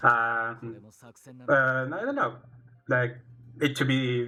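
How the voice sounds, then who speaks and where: A man in a Spanish accent, medium pitch, with a bright, sharp tone, monotone, flat intonation and long, frequent pauses. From Chile. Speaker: fighting game player. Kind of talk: casual stream talk. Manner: halting.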